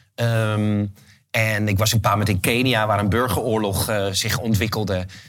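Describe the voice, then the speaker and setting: Music plays in the background as a man talks at a medium pitch. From Netherlands, Haarlem. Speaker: event organizer and author. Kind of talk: interview.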